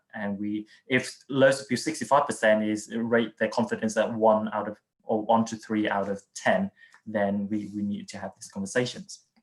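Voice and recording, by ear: Speaking at a moderate pace, a man uses a fairly low pitch with little pitch movement.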